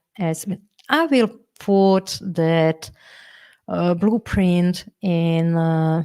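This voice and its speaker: In a non-native accent, a woman speaks with a fairly low pitch and ordinary pitch variation, the sound dry and close with no echo. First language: not English. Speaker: workshop leader, feng shui coach. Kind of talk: live online workshop. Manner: halting, with many fillers and repetitions.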